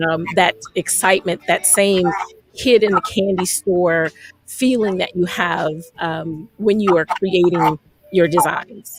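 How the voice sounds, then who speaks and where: A woman with an American accent uses a normal speaking voice, fairly low in pitch, with fairly even intonation at a fairly slow pace. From South Florida. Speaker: chef and radio host. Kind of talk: radio interview.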